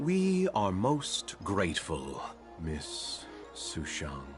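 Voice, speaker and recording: A man performs a put-on character voice at a very slow pace. Clear music plays in the background. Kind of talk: formal, courteous. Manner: very slow, deliberate.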